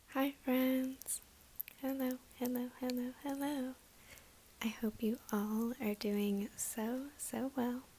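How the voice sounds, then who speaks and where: A soft-spoken woman with a high pitch talks at a very slow pace in a relaxed tone. Her intonation stays monotone and flat, and her loudness is very even. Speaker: ASMR creator. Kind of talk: ASMR story time, casual talk to camera. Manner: soft-spoken, relaxed.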